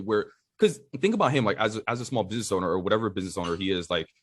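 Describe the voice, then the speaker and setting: On a very clean recording with a silent background, a man talks at a very fast pace in an American accent. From New York City. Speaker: tech industry director. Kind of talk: casual chat.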